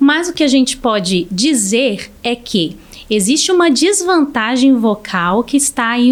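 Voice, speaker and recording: A woman's pitch swings very widely as noticeable background noise sounds behind her. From Brazil. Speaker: speech therapist. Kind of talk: podcast interview.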